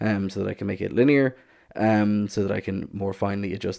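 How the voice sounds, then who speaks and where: A man's fairly low, dark and mellow voice in a flat monotone. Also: quiet background. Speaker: maker / DIY electronics YouTuber. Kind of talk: tutorial. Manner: casual, many fillers.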